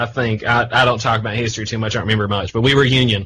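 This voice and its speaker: A man in an Eastern Kentucky accent, with a bright, sharp tone, medium pitch, and monotone, flat intonation. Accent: Eastern Kentucky Appalachian. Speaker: radio and podcast host. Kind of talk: casual chat.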